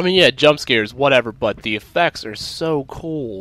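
A man at a very slow pace with ordinary pitch variation, over noticeable background noise. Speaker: gaming video creator. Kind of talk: let's play commentary. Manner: animated.

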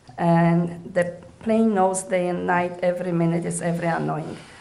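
A woman with a medium-pitched voice is heard amid audible room echo. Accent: non-native. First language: not English. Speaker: resident giving public comment. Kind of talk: public comment at council meeting. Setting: council chamber podium.

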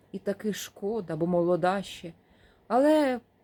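Lively intonation in a natural reading voice

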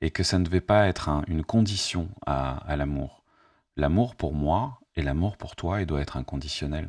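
Against a quiet background, a man with vocal fry talks at a moderate pace in a very deep, low voice with ordinary pitch variation, the sound dry with no echo. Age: 50s. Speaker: YouTuber and life coach; YouTuber, life coach. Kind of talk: spontaneous monologue to camera. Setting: at home, facing camera. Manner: hesitant, many fillers. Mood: calm, reflective, warm. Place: home room. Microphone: studio mic.

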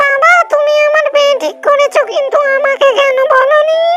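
A female-sounding voice does a cartoonish character at an extremely high pitch and a fairly slow pace. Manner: wheedling, dramatic, sing-song rural speech.

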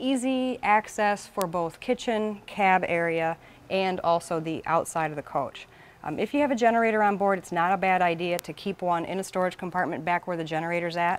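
Ordinary pitch variation from a woman at a fairly quick pace. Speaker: presenter. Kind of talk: tutorial.

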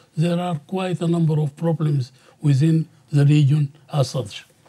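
With an Arabic accent, a man speaks fairly slowly in a dark, mellow tone with fairly even intonation. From Sudan. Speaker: professor. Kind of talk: panel discussion. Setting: seminar with audience. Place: studio.

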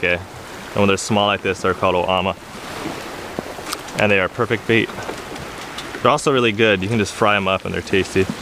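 There is noticeable background noise as a man speaks in a dry sound with no echo. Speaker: fishing vlogger. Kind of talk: casual vlog chat. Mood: relaxed, upbeat. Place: waterside. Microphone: phone near.

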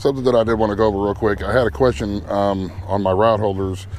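A normal speaking voice at a fairly quick pace with ordinary pitch variation, dry sound with no echo and light background noise. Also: man. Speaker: channel host. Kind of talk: tutorial. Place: boat. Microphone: phone near.

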